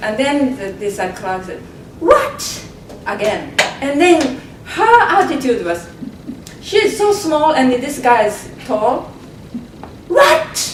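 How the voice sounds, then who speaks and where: A woman with a Japanese accent speaks at a high pitch with very wide pitch swings, at a very slow pace with long, frequent pauses. Noticeable background noise and audible room echo fill the recording. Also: big swings in loudness. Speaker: community pioneer. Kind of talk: panel discussion. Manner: halting.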